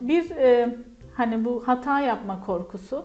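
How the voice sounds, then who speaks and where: With music playing in the background, a woman speaks with lively intonation. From Turkey, Kahramanmaraş. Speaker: English lecturer. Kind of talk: interview.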